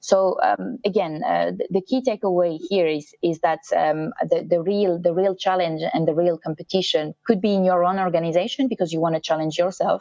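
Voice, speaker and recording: In a French accent, the voice has a dark, mellow tone and moves at a moderate pace with hardly any pauses, the sound dry and close with no echo. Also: woman, fairly low pitch for a woman, ordinary pitch variation. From France. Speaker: sustainability consultant in motorsport. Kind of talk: online masterclass talk. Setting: virtual event. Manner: hesitant, many fillers.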